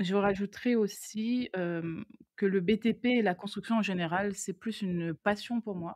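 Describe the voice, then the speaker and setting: In a Réunion accent, a woman speaks at a medium pitch with fairly even intonation, in a dry, close sound with no echo. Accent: Réunion French accent, dropped R's. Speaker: construction engineer and BIM manager. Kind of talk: interview. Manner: hesitant, many fillers.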